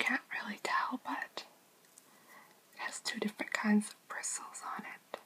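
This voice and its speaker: Whispering at a fairly slow pace with long, frequent pauses, a woman lets her loudness swing widely. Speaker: beauty ASMR creator. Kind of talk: ASMR makeup collection review. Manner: whispered, soft-spoken. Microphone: phone near.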